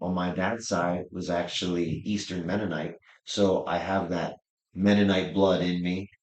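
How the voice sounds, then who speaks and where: In an American accent, a man speaks with a very deep, low pitch. His intonation is monotone and flat, and his pace fairly slow. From Pennsylvania, Lebanon County (Pennsylvania Dutch area). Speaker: rodeo clown and comedian. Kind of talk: interview. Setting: sit-down interview.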